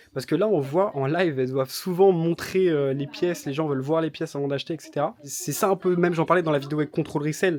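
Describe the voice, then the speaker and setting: A man talks at a very fast pace with hardly any pauses, his fairly high pitch held to fairly even intonation. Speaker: YouTuber covering reselling business. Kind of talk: vlog commentary. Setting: in an office/storage premises. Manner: hesitant fillers; soft-spoken.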